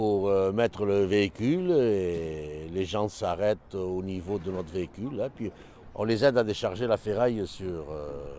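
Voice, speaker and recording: This man has an unremarkable speaking voice, pitched fairly low. He talks at a fairly slow pace with ordinary pitch variation. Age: 60s. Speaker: scrap metal collector. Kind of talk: interview.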